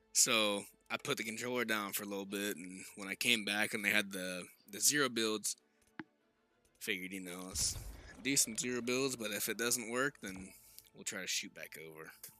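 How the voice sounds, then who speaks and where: With an American accent, the speaker leaves long, frequent pauses and shows big swings in loudness, with music in the background. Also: man, fairly low pitch for a man, ordinary pitch variation, moderate pace. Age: 20s. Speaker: gaming streamer. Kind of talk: casual chat.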